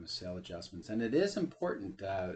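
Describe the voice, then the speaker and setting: A man talks at a fairly quick clip with a somewhat breathy voice. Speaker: real estate appraiser giving tutorial. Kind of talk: software tutorial. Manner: fast; many filler uh's.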